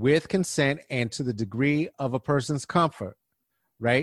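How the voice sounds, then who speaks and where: A man with a plain, everyday voice speaks at a fairly high pitch with ordinary pitch variation, in a dry, close sound with no echo. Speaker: comic, activist and guest co-host. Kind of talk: casual conversation.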